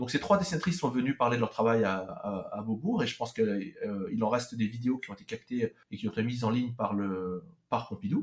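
His intonation is lively and his pitch medium. The man talks at a fairly quick pace. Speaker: anime specialist and translator. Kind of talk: interview. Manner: halting, frequent hesitations.

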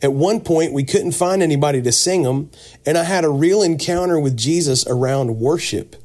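A man speaks in an unremarkable speaking voice, pitched fairly high. His pitch varies in an ordinary way and his pace is fairly quick. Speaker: singer. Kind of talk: casual interview chat. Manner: casual, friendly.

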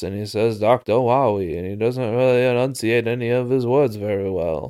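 Mumbling in a put-on character voice, a man speaks at a medium pitch and a moderate pace. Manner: stilted, awkward.

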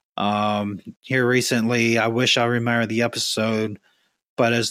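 A man speaks at a moderate pace in a medium pitch, with an ordinary speaking voice. The recording is very clean, with a silent background. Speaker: caller.

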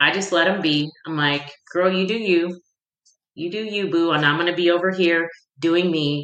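Here a woman speaks at a fairly low pitch. Hers is an unremarkable speaking voice. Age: 50s. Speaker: women's life coach. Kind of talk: casual interview chat.

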